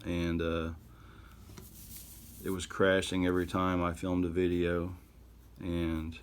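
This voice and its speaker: With audible room echo, a man speaks at a fairly slow pace in a very deep, low pitch and a monotone, flat intonation. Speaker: artist and YouTuber. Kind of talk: casual narration while drawing. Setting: home studio, camera audio. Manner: halting.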